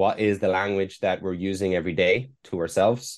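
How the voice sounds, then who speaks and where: With an Irish accent, a man talks at a fairly quick pace, his fairly low voice keeping fairly even intonation. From Ireland. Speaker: performance mindset coach. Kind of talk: casual interview chat. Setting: remote interview from Hong Kong.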